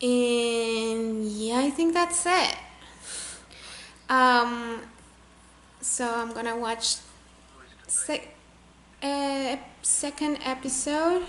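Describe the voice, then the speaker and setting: A woman with a Spanish accent speaks at a high pitch with ordinary pitch variation. Her pace is very slow, with long, frequent pauses. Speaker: chemical engineer reacting to a TV show. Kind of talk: casual vlog chat. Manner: halting, with self-corrections.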